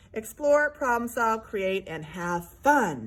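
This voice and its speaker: A somewhat breathy woman speaks at a very slow pace. Her intonation is lively. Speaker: art teacher. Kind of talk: tutorial. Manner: animated.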